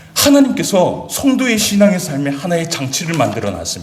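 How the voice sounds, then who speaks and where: Very wide pitch swings from a man, with audible room echo and noticeable background noise. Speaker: pastor. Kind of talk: sermon. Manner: fast.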